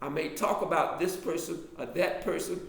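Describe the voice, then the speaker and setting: A man with an American accent and high pitch speaks at a moderate pace with fairly even intonation, with audible room echo. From US South, Alabama. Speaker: author and drama lecturer. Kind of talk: casual online class talk. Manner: halting.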